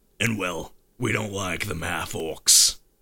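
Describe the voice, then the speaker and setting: This man performs in a put-on character voice. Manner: gruff, menacing, blunt.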